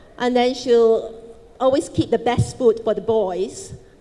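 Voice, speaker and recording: Noticeable background noise is present. Over it, a woman talks at a fairly high pitch. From Malaysia, Chinese family. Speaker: businesswoman, panelist. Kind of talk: panel talk, personal story. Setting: stage with audience.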